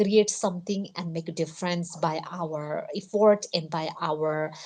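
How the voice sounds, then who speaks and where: Very slow speech in a non-native accent, with fairly even intonation. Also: woman, quiet background. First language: not English. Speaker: live streamer, motivational talk. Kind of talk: casual motivational livestream monologue. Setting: live stream. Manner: halting, many fillers (uh, you know).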